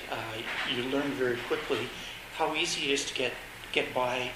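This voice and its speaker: Heard through noticeable background noise and audible room echo, a man speaks with a Canadian accent. His pitch is medium and his pace fairly slow. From Canada. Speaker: former overseas volunteer teacher. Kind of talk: interview.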